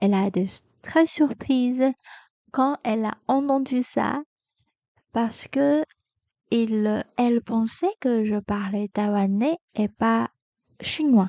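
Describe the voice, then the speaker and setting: A woman with a Taiwanese accent speaks at a very slow pace with long, frequent pauses, a dark, mellow tone, fairly high pitch and ordinary pitch variation. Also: dry, close sound with no echo. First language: Mandarin Chinese (speaking French). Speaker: podcaster, French learner. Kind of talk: educational podcast monologue. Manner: halting, many hesitations.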